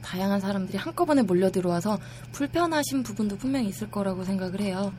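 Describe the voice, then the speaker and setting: Very wide pitch swings in a woman's medium-pitched voice. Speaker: online forum member. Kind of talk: casual chat. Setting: studio.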